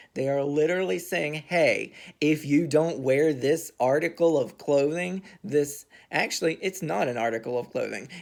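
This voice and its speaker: A man's fairly high voice with ordinary pitch variation at a moderate pace, in a very clean recording with a silent background. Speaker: vlogger. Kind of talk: casual monologue rant.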